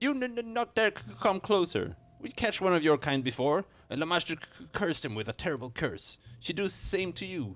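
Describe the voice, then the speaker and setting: A man's put-on character voice, high and shaky, shouting at a fairly quick pace with very wide pitch swings. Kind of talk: broken, simple grammar. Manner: shouting, fearful, stuttering threats.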